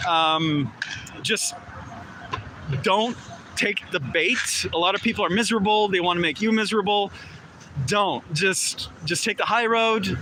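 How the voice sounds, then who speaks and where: Amid noticeable background noise, a man with a high pitch uses a raised, projected voice at a fairly slow pace, leaving long, frequent pauses. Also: ordinary pitch variation. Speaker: street activist. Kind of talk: casual chat. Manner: loud.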